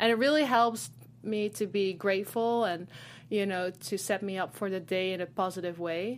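In a very clean recording with a silent background, a woman with a Dutch accent talks at a moderate pace, her medium pitch showing ordinary variation. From Netherlands. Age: 20s. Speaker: fashion model. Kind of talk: interview. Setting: studio.

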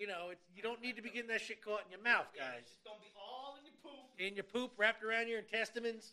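Using a raised, projected voice, a high-pitched man speaks at a very fast pace with hardly any pauses and fairly even intonation. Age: 30s. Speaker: podcast co-host. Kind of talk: casual chat. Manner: stutter.

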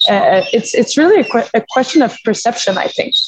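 A woman speaks with a French Canadian accent. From Quebec. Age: 30s. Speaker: former hockey player and gym owner. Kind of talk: casual interview.

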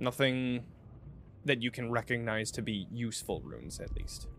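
Pitched at a medium level, a man with an unremarkable speaking voice talks at a moderate pace. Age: 30s. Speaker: game master of a role-playing stream. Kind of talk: tabletop role-play narration. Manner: casual, filler-heavy.

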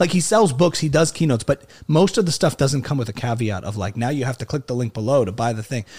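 The speaker talks very fast in an American accent, with lively intonation and a somewhat breathy voice. The recording is very clean, with a silent background. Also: man, medium pitch for a man. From New Jersey. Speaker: comedian and musician. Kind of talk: casual interview chat.

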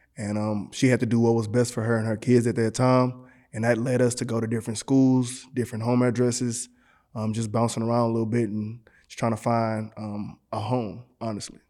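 Fairly quick and monotone, a man speaks at a medium pitch with flat intonation and an American accent. His tone is dark and mellow, on a very clean recording with a silent background. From Texas, Galveston and Houston. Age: 30s. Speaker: trucking company owner. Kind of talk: casual interview.

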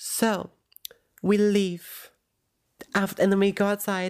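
A woman's medium-pitched voice with an American accent, dry and close with no echo. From US South. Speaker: podcast co-host. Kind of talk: casual chat. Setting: remote call. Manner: animated.

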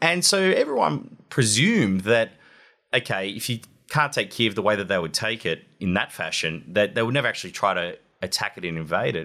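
This man has a bright, sharp tone, a fairly low pitch, very wide pitch swings, a fairly quick pace and an Australian accent. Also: very clean recording, silent background. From Australia, Wollongong. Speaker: war correspondent. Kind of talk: interview.

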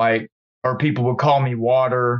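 At a fairly slow pace, a man talks in a medium pitch with fairly even intonation and a normal speaking voice. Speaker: rapper. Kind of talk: casual chat. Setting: phone call.

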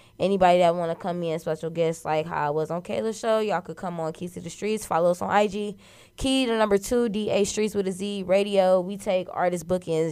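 On a very clean recording with a silent background, a woman with a fairly low pitch speaks at a fairly quick pace in an animated, upbeat tone with ordinary pitch variation. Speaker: radio personality and cook. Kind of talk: casual interview chat.

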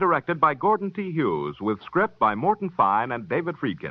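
A man talks at a high pitch with very wide pitch swings. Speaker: radio announcer. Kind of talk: announcements and promos. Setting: old radio broadcast. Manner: formal.

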